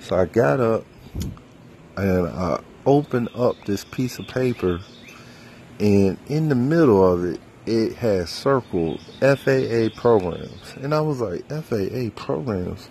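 Very slowly, a man with an American accent speaks at medium pitch with very wide pitch swings. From US South, North Carolina. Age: 30s. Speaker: minister and podcast host. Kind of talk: casual personal monologue, testimony. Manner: halting, many fillers; unrehearsed, spontaneous.

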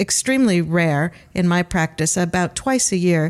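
A woman with a Great Lakes accent speaks at a fairly low pitch and a fairly slow pace, with ordinary pitch variation. The recording is very clean with a silent background. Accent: Great Lakes American. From Cleveland, Ohio, US. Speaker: palliative care physician and bioethics researcher. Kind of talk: interview discussing euthanasia.

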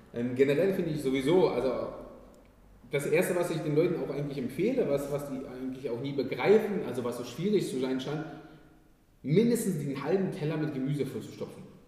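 Audible room echo surrounds a man speaking fairly quickly in a fairly high voice with ordinary pitch variation. He takes long, frequent pauses. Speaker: podcast host. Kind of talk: casual interview. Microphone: poor quality, main mic failed.

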